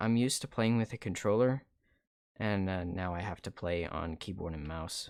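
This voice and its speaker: A quiet man with a calm tone and fairly low pitch, at a moderate pace, in a very clean recording with a silent background. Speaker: video game streamer. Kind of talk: casual gameplay commentary. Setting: live stream. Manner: calm, low-energy.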